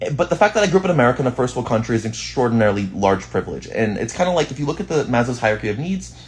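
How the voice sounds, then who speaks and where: A man speaks at a very fast pace, his pitch swinging very widely. His voice has vocal fry. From Boston, US. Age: 20s. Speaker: streamer. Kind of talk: casual chat.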